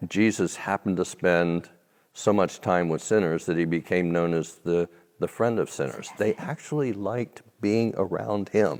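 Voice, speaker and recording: In an American accent, a man speaks at a moderate pace. His pitch is very deep and low, with ordinary variation. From United States, Irish heritage. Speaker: minister, guest speaker. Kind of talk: interview. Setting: stage. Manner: loud.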